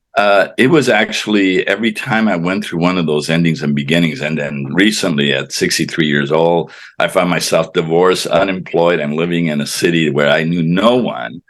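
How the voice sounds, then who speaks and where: Over noticeable background noise, a man speaks with a very deep, low pitch. He keeps a moderate pace with hardly any pauses. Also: ordinary pitch variation. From Colorado (Pueblo), born in Cuba. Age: 70s. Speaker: author, former mayor. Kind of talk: interview. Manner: halting, many fillers and repetitions.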